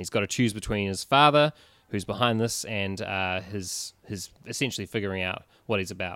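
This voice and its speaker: A man with a New Zealand accent talks at a fairly quick pace, his fairly low voice bright and sharp, with ordinary pitch variation. The recording is very clean, with a silent background. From New Zealand, Christchurch. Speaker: writer and new podcast co-host. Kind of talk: casual chat. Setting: bookstore.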